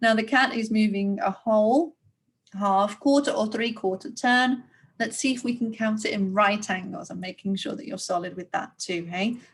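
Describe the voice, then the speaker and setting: A woman talks at a moderate pace with a fairly high pitch. Her voice is somewhat breathy, with ordinary pitch variation. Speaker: primary school teacher. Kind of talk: recorded lesson for young pupils. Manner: animated.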